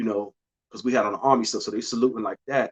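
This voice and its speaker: In a New York accent, a man speaks at a medium pitch with ordinary pitch variation, the sound dry and close with no echo. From New York City, Bronx. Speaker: podcast host. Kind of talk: casual monologue.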